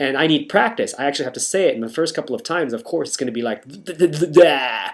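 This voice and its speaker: With an American accent and lively intonation, a man talks at a very fast pace. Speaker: vlogger. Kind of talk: vlog monologue. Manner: halting, with false starts.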